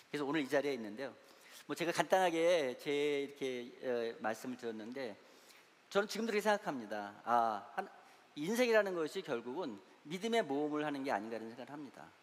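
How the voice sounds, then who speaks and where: With very wide pitch swings and a fairly high pitch, a man talks at a fairly quick pace. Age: 60s. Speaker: church elder and investment adviser, guest lecturer. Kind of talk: lecture. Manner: halting, many fillers.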